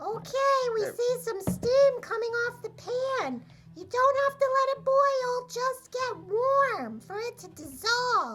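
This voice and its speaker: In a cartoonish character voice at an extremely high pitch, the speaker moves at a fairly slow pace with hardly any pauses. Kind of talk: cooking demonstration. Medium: puppet.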